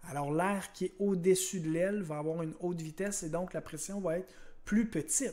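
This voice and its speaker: A man speaks at a moderate pace in a high voice with a dark, mellow tone, ordinary pitch variation, and long, frequent pauses. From Quebec. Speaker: science teacher. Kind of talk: lecture. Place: home room. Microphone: webcam.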